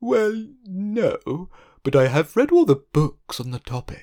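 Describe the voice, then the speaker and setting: A man uses a put-on character voice, high-pitched and breathy. He speaks at a fairly slow pace with very wide pitch swings. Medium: read story. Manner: polite, mild.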